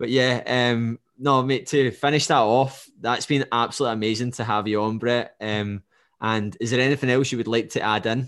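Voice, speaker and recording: With a Scottish accent, a man of medium pitch talks at a moderate pace and with fairly even intonation over a quiet background. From Scotland. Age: 20s. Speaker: podcast host and fitness coach. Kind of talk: casual interview.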